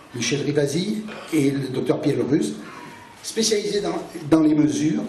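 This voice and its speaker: Noticeable background noise and audible room echo accompany a man with a fairly high pitch talking at a moderate pace. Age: 60s. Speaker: NGO coordinator. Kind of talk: public talk at a debate meeting.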